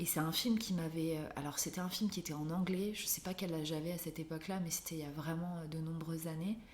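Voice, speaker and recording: A woman at a very fast pace with hardly any pauses, in audible room echo. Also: fairly low pitch for a woman, fairly even intonation. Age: 20s. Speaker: illustrator and art therapist. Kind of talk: interview.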